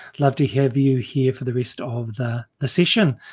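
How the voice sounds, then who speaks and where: A man speaks with a somewhat breathy voice in a New Zealand accent. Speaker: webinar host. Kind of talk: live webinar presentation. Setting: video call, livestream.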